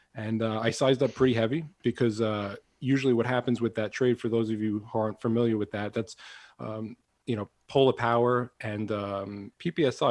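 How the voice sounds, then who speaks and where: Against a quiet background, a man with a Long Island accent speaks at a medium pitch with fairly even intonation. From Long Island, New York. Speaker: trading podcast co-host. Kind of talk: casual chat. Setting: working from home.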